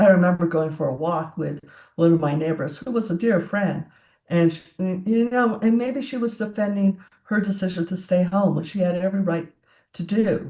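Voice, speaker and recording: A normal speaking voice from a woman, moderately paced and with ordinary pitch variation. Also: medium pitch for a woman. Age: 60s. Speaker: tech entrepreneur and CEO. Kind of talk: interview conversation.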